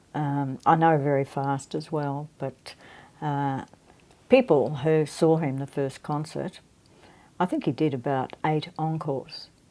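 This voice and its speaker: A woman with an Australian accent speaks fairly slowly in a very deep, low pitch. Her tone is dark and mellow, and her intonation stays fairly even. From Australia, Melbourne. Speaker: guitarist and guitar teacher. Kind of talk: interview. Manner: halting.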